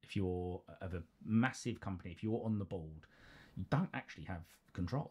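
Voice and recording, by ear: Speaking at a moderate pace, a man has a low pitch with ordinary pitch variation, a slightly mellow tone and a slightly husky edge.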